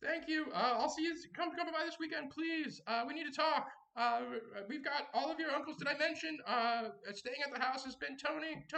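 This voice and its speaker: A man does a put-on character voice at an extremely high pitch. He leaves long, frequent pauses. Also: moderate pace. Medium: actual play. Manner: rambling, fussy.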